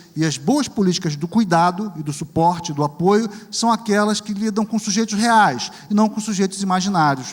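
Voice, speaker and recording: This man speaks at a moderate pace with a high pitch and ordinary pitch variation. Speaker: professor and researcher. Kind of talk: lecture. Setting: auditorium with audience and interpreters.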